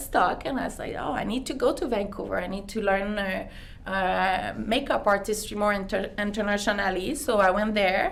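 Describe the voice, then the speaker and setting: Audible room echo surrounds a woman speaking in a Quebec accent. She uses a medium pitch, a moderate pace and ordinary pitch variation. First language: French. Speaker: beauty clinic owner. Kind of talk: interview. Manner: halting.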